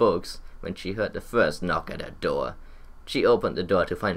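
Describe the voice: Plain, read-aloud delivery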